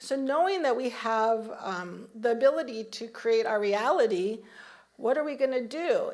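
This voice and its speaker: At a moderate pace, a woman talks with lively intonation in a high pitch. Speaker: minister giving a Sunday talk. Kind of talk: sermon. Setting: church service with congregation.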